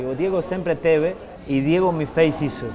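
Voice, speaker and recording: Male speech, its pitch varying in an ordinary way, with noticeable background noise. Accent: strong Argentine. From Argentina. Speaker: retired footballer and TV host. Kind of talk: interview answer. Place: home room.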